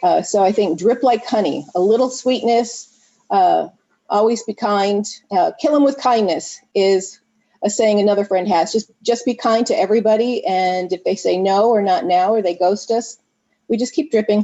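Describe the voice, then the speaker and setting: This woman has a normal speaking voice at medium pitch, with ordinary pitch variation. She keeps a moderate pace and very even loudness. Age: 60s. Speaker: network marketing team member. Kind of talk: video call interview.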